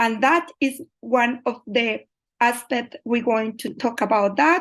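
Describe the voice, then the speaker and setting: A woman with a Colombian accent speaks at a very slow pace in a high-pitched voice. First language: Spanish. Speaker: migrant mental health researcher. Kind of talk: online presentation. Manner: halting.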